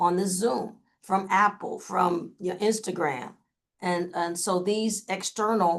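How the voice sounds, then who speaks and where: This is a plain, everyday voice. A woman at medium pitch speaks at a fairly slow pace with fairly even intonation. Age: 60s. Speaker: communication trainer. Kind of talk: webinar presentation. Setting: video call.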